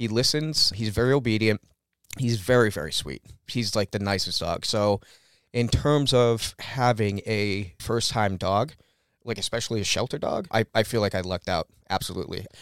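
A man with an ordinary speaking voice at medium pitch, moderate pace and ordinary pitch variation, in a dry, close sound with no echo and a very clean, silent background. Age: 30s. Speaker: dog owner. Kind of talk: casual interview. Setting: recording studio.

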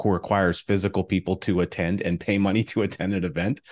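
A man with a very deep, low pitch at a very fast pace, in a dry, close sound with no echo and a quiet background. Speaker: podcast host. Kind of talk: interview conversation. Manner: hesitant, many fillers.

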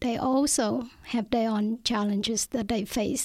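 In a very clean recording with a silent background, a woman with a fairly high pitch and a Vietnamese accent speaks at a moderate pace in a flat monotone. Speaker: author. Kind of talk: interview. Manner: hesitant.

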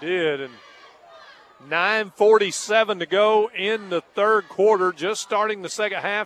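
Noticeable noise fills the background. A man speaks over it. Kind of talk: live play-by-play football commentary. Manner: homespun and folksy, stumbling over words.

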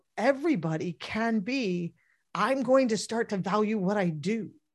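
A woman's ordinary speaking voice at a medium pitch, with lively intonation and a quiet background. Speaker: podcast co-host. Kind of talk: live-streamed podcast chat. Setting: live webinar broadcast.

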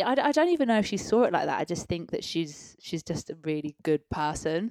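A woman speaks with an East of England accent at a fairly quick pace, with hardly any pauses. The sound is dry and close with no echo. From Peterborough, eastern England. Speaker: professional dancer. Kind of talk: casual chat. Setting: living room at home.

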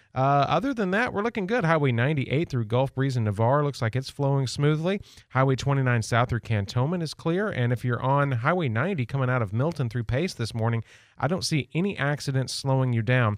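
Delivered at a fairly quick pace in an ordinary speaking voice, the speech has lively intonation and very even loudness against a quiet background. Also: man, medium pitch for a man. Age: 40s. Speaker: radio traffic reporter. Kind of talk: traffic report. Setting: radio studio.

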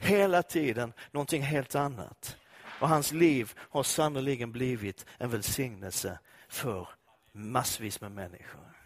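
His tone is animated and his intonation lively. The man talks at a medium pitch and a fairly slow pace. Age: 50s. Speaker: pastor. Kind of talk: sermon.

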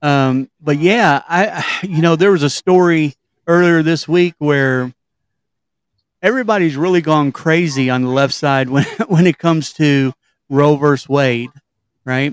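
A man with a Kentucky accent speaks at a fairly slow pace in a fairly high voice, with ordinary pitch variation, very even loudness and long, frequent pauses, in a dry, close sound with no echo. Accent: Kentucky Southern US. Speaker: podcast host. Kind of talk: casual interview. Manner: hesitant, many fillers.

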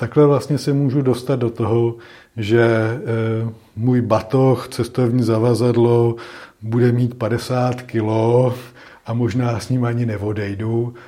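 The voice has a dark, mellow tone and moves at a very slow pace. Its intonation stays monotone and flat. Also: man, medium pitch for a man. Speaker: psychologist. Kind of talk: interview.

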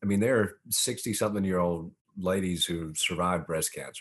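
With a Southern US accent, a man speaks at a fairly low pitch. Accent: Southern American. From US South (Augusta, Georgia). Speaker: former mayor and author. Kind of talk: podcast interview.

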